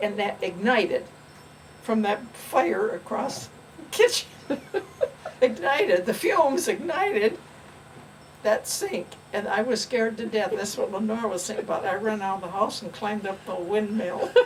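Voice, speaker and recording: A woman with a fairly high pitch and ordinary pitch variation speaks at a moderate pace, leaving long, frequent pauses, against noticeable background noise. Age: 90s. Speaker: grandmother recalling her life. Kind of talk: casual chat.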